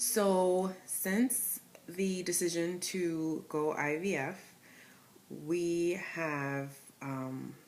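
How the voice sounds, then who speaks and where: With an East Coast accent, a woman speaks at a very slow pace with long, frequent pauses, and audible room echo fills the space. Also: fairly low pitch for a woman, ordinary pitch variation. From Connecticut. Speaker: vlogger sharing IVF journey. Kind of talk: personal vlog. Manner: casual, with many fillers.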